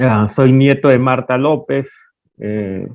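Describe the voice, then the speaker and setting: Here a man speaks with a medium pitch. His pace is fairly slow and his intonation fairly even. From Peruvian Amazon. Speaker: painter. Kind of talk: interview. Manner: halting.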